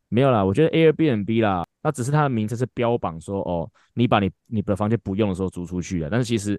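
A man with an unremarkable speaking voice talks at a fairly quick pace in a fairly low pitch. The sound is dry and close with no echo, over a quiet background. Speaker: baseball fitness coach and podcast host. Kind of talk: casual chat.

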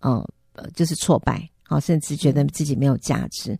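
This woman's voice carries a dark, mellow tone. She talks with lively intonation. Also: dry, close sound with no echo, very clean recording, silent background. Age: 50s. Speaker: radio host. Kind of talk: interview.

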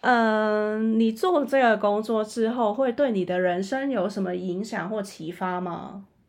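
A woman speaks at a fairly slow pace in a normal speaking voice, with a fairly high pitch and ordinary pitch variation. She hardly pauses, and the background is quiet. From Macau. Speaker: podcast host. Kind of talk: interview.

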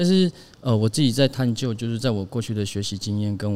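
The background is silent in this very clean recording. A man does the talking. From Taiwan, Taitung (Paiwan village). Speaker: designer. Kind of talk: casual chat. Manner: halting.

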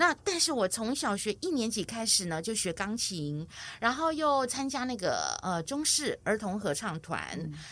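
With a Taiwanese accent, a woman speaks at a moderate pace in a fairly high pitch, her voice swinging very widely in pitch over a very clean recording with a silent background. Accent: Taiwanese Mandarin. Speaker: music teacher for seniors. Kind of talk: interview.

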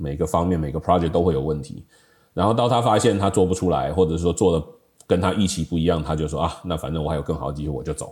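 Vocal fry in a man's very deep, low voice, very fast pace and ordinary pitch variation. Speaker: software industry professional, high school alumnus. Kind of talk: casual reminiscing interview.

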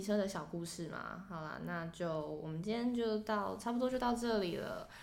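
A woman's medium-pitched voice at a moderate pace, with hardly any pauses and audible room echo. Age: 20s. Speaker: podcast co-host. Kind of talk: casual chat. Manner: animated.

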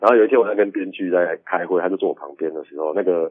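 A man at a very fast pace. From Taiwan, Kaohsiung. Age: 30s. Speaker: film director. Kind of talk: interview. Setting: remote call.

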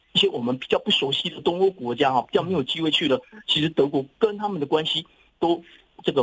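With a plain, everyday voice, a man talks at a fairly quick pace, his fairly high pitch moving in lively intonation. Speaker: professor. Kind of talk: interview.

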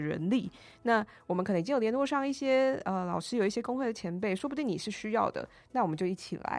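At a very fast pace, a woman speaks with lively intonation. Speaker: union organizer and urban planner. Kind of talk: casual interview.

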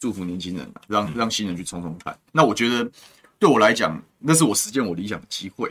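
A man's fairly low voice at a very fast pace, with big swings in loudness. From Taiwan, Taoyuan. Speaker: city councillor. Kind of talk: political interview chat. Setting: studio live stream.

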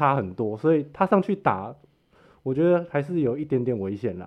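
A man's voice with very wide pitch swings. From Taiwan, Hsinchu. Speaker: MMA fan with small video channel. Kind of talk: casual chat.

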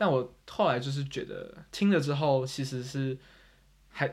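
A man speaks at a fairly high pitch. His voice is somewhat breathy. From Taiwan. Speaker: podcast host. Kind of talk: casual chat.

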